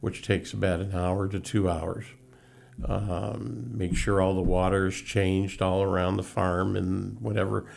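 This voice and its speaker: Speaking fairly slowly in a very deep, low voice with ordinary pitch variation, a man is heard over audible room echo. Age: 70s. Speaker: horse carriage tour operator. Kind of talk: casual interview. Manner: halting, many fillers.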